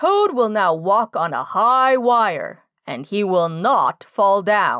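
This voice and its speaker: A woman performs a put-on character voice at medium pitch, very slowly, with lively intonation and hardly any pauses. The sound is dry and close with no echo, on a very clean recording with a silent background. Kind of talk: stage announcer. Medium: read story. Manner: grand, proclamatory.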